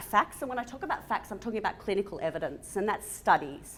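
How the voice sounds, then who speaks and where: A woman speaks very fast with a fairly high pitch. Her voice swings very widely in pitch. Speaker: physiotherapist. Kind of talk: conference talk. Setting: stage with audience. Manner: loud.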